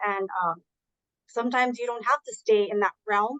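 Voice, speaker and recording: A woman speaks with a fairly high pitch and fairly even intonation. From immigrant to the US, Spanish-speaking background. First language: Spanish. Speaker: university admissions advisor. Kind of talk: Q&A answers at online info session. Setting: Zoom webinar.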